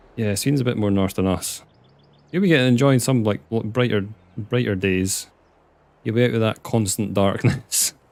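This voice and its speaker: A man with a Scottish accent speaks at a fairly low pitch, leaving long, frequent pauses. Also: ordinary pitch variation, moderate pace. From Scotland. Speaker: video game streamer. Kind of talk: live gameplay stream chat. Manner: casual, chatty.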